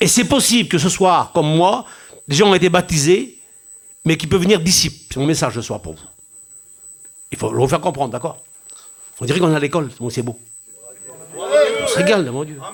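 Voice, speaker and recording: Lively intonation at a moderate pace, with long, frequent pauses and big swings in loudness. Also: man, fairly high pitch for a man. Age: 60s. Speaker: pastor. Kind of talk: sermon. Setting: church.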